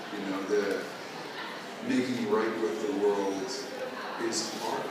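A man's voice with audible room echo and loud background noise. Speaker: actor. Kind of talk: panel Q&A answer. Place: hall. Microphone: pa.

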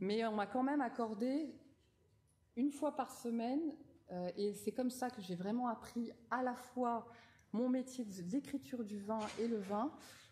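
A woman's high voice, with a dark, mellow tone, moves at a fairly slow pace with ordinary pitch variation. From France, Nouvelle-Aquitaine (Rochefort); Nouvelle-Aquitaine, France. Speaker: wine journalist and winemaker; wine journalist. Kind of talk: lecture. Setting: lecture hall with audience. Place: hall. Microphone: podium.

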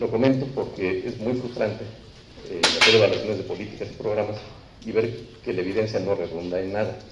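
A man talks at a very fast pace with a fairly low pitch. Light background noise and audible room echo come through. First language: Spanish. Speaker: seminar panelist; panelist. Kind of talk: panel discussion. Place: meeting room. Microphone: handheld.

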